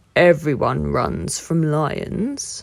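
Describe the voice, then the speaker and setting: A woman uses a put-on character voice. Her pitch is very deep and low. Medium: read story.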